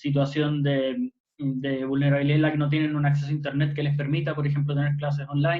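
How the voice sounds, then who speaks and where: This man talks at a fairly quick pace, somewhat breathy and fairly high in pitch. His intonation stays monotone and flat. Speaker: youth panelist. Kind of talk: online panel discussion. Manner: halting, many fillers.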